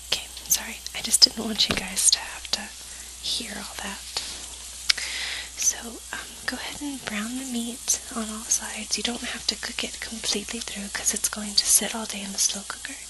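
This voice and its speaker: Whispering at a moderate pace, a woman's voice swings widely in loudness against noticeable background noise. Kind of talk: ASMR cooking tutorial. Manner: whispered.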